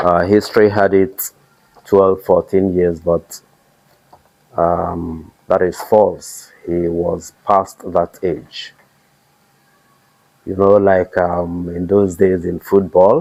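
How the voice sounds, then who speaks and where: Very slowly and with long, frequent pauses, a man speaks in a very deep, low voice with monotone, flat intonation. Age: 60s. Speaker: royal family elder, local historian. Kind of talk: interview.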